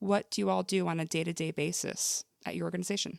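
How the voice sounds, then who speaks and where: A woman is recorded very cleanly over a silent background. The sound is dry and close, with no echo. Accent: American. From New Jersey. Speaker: podcast host, former high school teacher. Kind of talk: podcast interview. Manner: fast.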